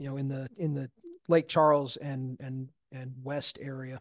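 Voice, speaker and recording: Spoken at a moderate pace, the voice sounds dry and close with no echo. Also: man. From US Northeast, Long Island, New York. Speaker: towboat captain. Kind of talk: interview, casual storytelling. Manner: halting, many fillers and repeated words.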